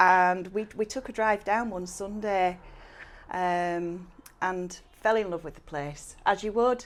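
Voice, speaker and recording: A woman in a Yorkshire accent, medium in pitch, fairly even in intonation and very slow in pace, on a very clean recording with a silent background. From West Yorkshire, near Haworth. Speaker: cleaning business owner. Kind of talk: podcast interview chat. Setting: studio, on camera.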